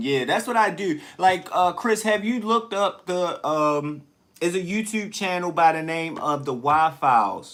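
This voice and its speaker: A man's loud, high-pitched shouting with lively intonation, at a moderate pace with hardly any pauses. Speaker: livestreamer. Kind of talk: casual live stream chat. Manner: loud, tends to yell.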